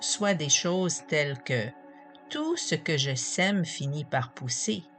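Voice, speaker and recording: Over music in the background, a woman speaks at a very slow pace with a very deep, low pitch and very wide pitch swings. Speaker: hypnotherapist. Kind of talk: narrated talk on positive thinking and hypnosis.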